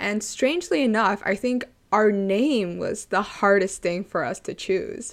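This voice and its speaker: Speaking with a Canadian accent, a woman with an ordinary speaking voice talks at a fairly slow pace in a medium pitch, her intonation lively. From Canada (Toronto). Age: 20s. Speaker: podcast co-host, university student. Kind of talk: casual chat.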